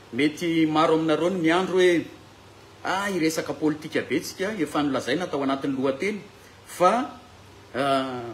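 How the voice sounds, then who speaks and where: Through noticeable background noise and audible room echo, a man speaks at a moderate pace with long, frequent pauses. His voice is fairly high, with ordinary pitch variation. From Madagascar. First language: Malagasy (speaking French). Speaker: bible teacher. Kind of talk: lecture. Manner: halting.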